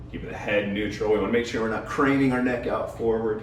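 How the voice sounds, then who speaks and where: A man talks at a fairly quick pace. Audible room echo and noticeable background noise fill the recording. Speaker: fitness coach. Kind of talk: follow-along workout instruction. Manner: quieter, lower voice while lying face down.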